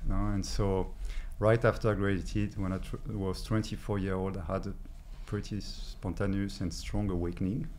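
With a French accent and vocal fry, a man speaks over light background noise. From France. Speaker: energy healer. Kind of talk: interview. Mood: warm, reflective, smiling. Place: studio. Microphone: studio mic.

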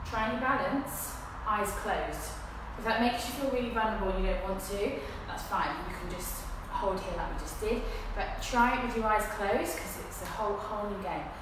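A woman talks at a fairly quick pace amid noticeable background noise and strong room echo. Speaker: fitness instructor. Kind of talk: guided exercise class. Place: gym. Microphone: camera far.

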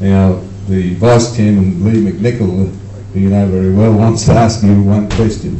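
Very even loudness and a fairly slow pace, with audible room echo, light background noise and a monotone, flat intonation. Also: man, fairly low pitch for a man. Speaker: conference chair; meeting chair or host. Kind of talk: moderating Q&A. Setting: stage with audience. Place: hall. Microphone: camera far.

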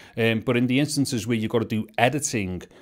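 A man at a fairly quick pace, ordinary pitch variation, very clean recording with a silent background. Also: medium pitch for a man.

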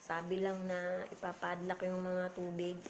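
A woman speaks at a very slow pace in a dark, mellow tone over light background noise. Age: 40s. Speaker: vlogger. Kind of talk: casual livestream chat. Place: home room. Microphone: phone near.

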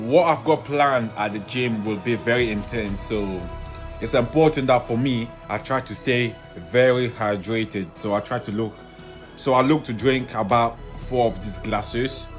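Music plays clearly behind a man who talks at a moderate speed. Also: ordinary pitch variation. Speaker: footballer vlogger. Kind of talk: casual vlog chat. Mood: relaxed, then excited by match. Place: home room. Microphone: phone near.

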